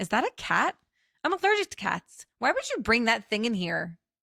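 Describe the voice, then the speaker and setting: A female-sounding voice puts on a shrill character voice at a fairly high pitch. She keeps a moderate pace. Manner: shrieking, indignant.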